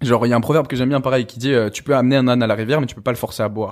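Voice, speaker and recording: A man with a medium pitch and ordinary pitch variation is heard in a very clean recording against a silent background. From France. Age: 20s. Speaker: youtuber and fitness coach. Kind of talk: podcast interview. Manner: fast; animated.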